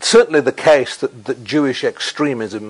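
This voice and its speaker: The speaker is a man. His voice rises and falls in a normal way. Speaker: novelist and columnist. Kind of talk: interview answer. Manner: eloquent, articulate.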